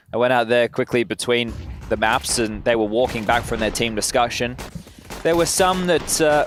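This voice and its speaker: There is noticeable background noise as a man talks at a fairly quick pace with very even loudness. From Australia. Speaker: esports commentator. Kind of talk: live commentary.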